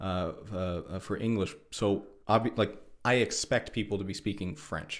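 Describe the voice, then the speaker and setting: With an unremarkable speaking voice, a man talks at a moderate pace, at a fairly low pitch and with fairly even intonation, on a very clean recording with a silent background. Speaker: podcast host. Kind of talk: casual chat.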